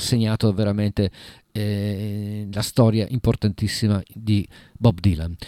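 A man with a dark, mellow tone speaks at a fairly slow pace, the very clean recording with a silent background giving a dry, close sound with no echo. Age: middle-aged. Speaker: radio host. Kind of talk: radio music show.

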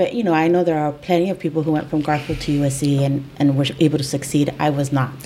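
Over noticeable background noise, the speaker talks at a fairly quick pace with ordinary pitch variation. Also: woman. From East LA. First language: Spanish. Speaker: podcast host, employment attorney. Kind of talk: casual interview chat.

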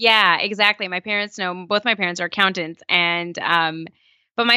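A woman with an American accent speaks in a medium pitch at a fairly quick pace. Her pitch variation is ordinary. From California. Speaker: entrepreneur and podcaster, former lawyer. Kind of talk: interview.

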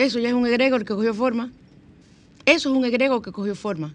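Animated in tone, a woman talks at a fairly quick pace. Her pitch is fairly high, with ordinary variation. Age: 60s. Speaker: radio host. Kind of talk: spiritual talk radio show.

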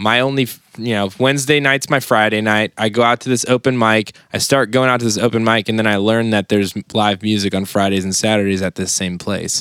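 With an American accent and an unremarkable speaking voice, a man talks at a fairly quick pace and fairly low pitch, with fairly even intonation, hardly any pauses and a dry, close sound with no echo. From Southern Maryland (St. Mary's County). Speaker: drummer and music producer. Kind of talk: casual chat.

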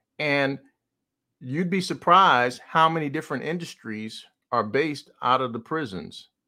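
Bright and sharp in tone, a man with an American accent and a fairly high pitch speaks at a moderate pace with lively intonation on a very clean recording with a silent background. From New Jersey. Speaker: pastor and podcast host. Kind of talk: preaching monologue. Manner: halting, many fillers.

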